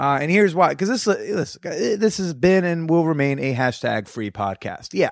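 In an American accent, a high-pitched man sounds animated, his voice making very wide pitch swings on a very clean recording with a silent background. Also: moderate pace, hardly any pauses. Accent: New Jersey, denied by him. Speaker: comedian podcast host. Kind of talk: casual chat. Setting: recorded in person at guest's place.

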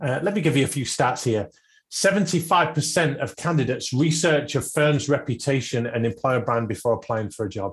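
A somewhat breathy man with a British accent speaks at a fairly high pitch and a moderate pace, with lively intonation. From UK. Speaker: podcast host. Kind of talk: interview; scripted tips segment.

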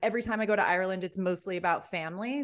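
Against a quiet background, the speaker talks with a New York accent and ordinary pitch variation. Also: woman. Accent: American, New York area. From US Northeast, Rye, New York. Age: 40s. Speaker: heartbreak coach. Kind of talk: podcast interview. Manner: animated.

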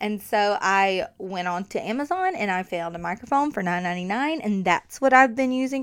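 A woman speaks in an animated tone. Her pitch is medium. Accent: strong Southern US. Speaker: podcast host, marketing coach. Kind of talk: casual solo podcast talk. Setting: home studio with USB mic.

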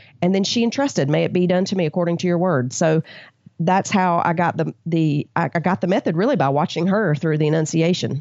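A woman with an American accent has an unremarkable speaking voice and a fairly low pitch. She talks at a fairly quick pace with ordinary pitch variation and very even loudness. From US South. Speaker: Bible study author. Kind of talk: interview.

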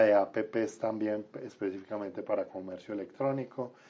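This man has a medium-pitched voice and talks at a moderate pace. His intonation is fairly even. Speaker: government vice minister. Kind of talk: radio interview.

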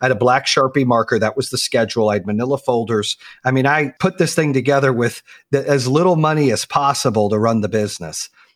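A man with an American accent and a normal speaking voice talks at a fairly quick pace and medium pitch with lively intonation, recorded very cleanly with a silent background and a dry, close sound with no echo. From Arizona, then North Carolina from age 14. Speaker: company founder and podcast host. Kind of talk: interview.

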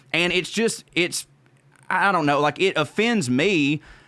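A man with a Southern US accent at a moderate pace, his intonation lively. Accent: Southern US, noticeable. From Georgia, US South. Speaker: comedian. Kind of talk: casual chat.

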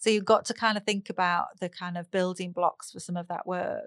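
Fairly quick and with fairly even intonation, a woman with a northern English accent is heard in a very clean recording with a silent background, the sound dry and close with no echo. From northern England. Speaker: speech and language therapist. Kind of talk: casual interview.

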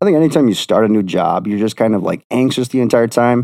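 This man talks at a very fast pace with an American accent. His pitch is medium and his tone dark and mellow. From Wisconsin. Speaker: podcast guest sharing paranormal experiences. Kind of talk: casual chat.

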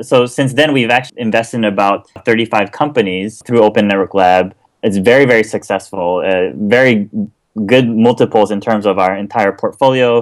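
A man talks at a moderate pace. The recording is very clean and the background silent. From Japan, Kobe. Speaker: venture investor. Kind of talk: interview.

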